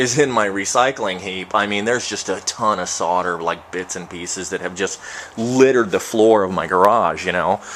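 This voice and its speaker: A man mumbles at a fairly low pitch with ordinary pitch variation. Noticeable background noise is present. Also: moderate pace. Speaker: home distiller. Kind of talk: video tutorial. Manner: mumbling.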